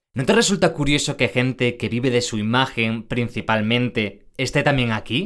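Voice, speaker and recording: A man with a Spanish accent speaks at a moderate pace in a medium pitch, with ordinary pitch variation and hardly any pauses. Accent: Spain Spanish. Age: 20s. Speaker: podcast host. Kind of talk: podcast presenting and interviewing.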